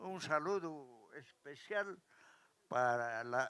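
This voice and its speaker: With music in the background, a man speaks at a very slow pace using lively intonation. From Peru, Challhuahuacho, Apurímac. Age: 80s+. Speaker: elderly local resident. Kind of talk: interview at live event.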